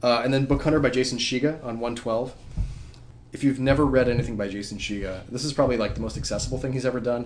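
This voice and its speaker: Someone talks at a very fast pace, with audible room echo. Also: man. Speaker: comic strip creator and podcast co-host. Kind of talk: casual chat.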